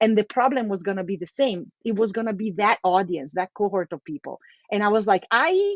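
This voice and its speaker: A woman's fairly quick speech in an Italian accent, at a medium pitch with ordinary pitch variation. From Italy, Milan. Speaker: localization executive. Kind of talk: casual interview chat. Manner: talkative.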